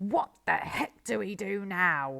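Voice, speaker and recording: Growling in a put-on character voice, a woman speaks at a medium pitch. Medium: read story. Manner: gruff, blustering.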